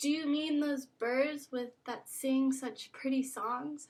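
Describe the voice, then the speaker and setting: In a loud, put-on character voice pitched high, a woman speaks at a fairly slow pace. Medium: read story. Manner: loud, hearty.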